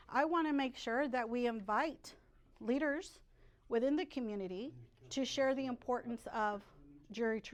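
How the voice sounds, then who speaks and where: A woman with an American accent speaks at a fairly quick pace, her fairly high pitch moving with ordinary variation. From Texas, Rio Grande Valley. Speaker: political candidate. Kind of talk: campaign speech; Q&A answers. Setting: restaurant meeting room with audience.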